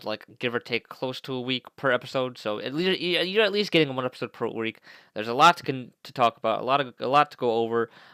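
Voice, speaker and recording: Bright and sharp in tone, a man's medium-pitched voice shows ordinary pitch variation. The recording is very clean, with a silent background and a dry, close sound with no echo. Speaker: gaming video creator. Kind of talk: casual video intro. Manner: fast; halting, many fillers and restarts.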